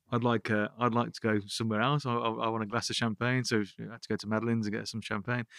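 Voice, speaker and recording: A man with a Birmingham accent at medium pitch, very fast and hardly pausing, in monotone, flat intonation. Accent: Birmingham (Brummie) English. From Birmingham, England. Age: 40s. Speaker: app founder. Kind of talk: interview. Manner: halting, repetitive.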